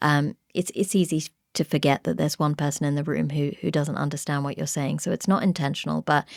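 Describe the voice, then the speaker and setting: A woman with a British accent talks at a fairly quick pace in a very deep, low pitch. The recording is very clean with a silent background and a dry, close sound with no echo. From England. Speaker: podcast host, pharmacist. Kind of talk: interview conversation.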